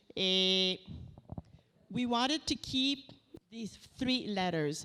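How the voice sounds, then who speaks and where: Very slowly, a woman speaks in a bright, sharp tone with lively intonation. The recording is very clean, with a silent background. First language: French. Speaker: researcher. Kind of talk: lecture. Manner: halting.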